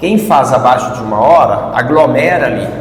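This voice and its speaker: A man speaks at a fairly slow pace in a fairly high pitch. Noticeable background noise and audible room echo are present. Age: 60s. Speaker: university professor and triathlete. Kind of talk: interview.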